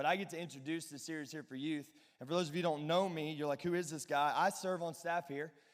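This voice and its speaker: The speaker talks at a fairly quick pace with a Southern US accent. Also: man. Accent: Southern twang. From Alabama. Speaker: pastor. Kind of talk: youth sermon. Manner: animated.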